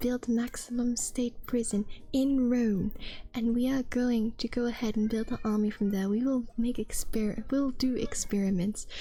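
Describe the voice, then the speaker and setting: Whispering comes at a fairly slow pace. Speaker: streamer. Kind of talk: casual chat.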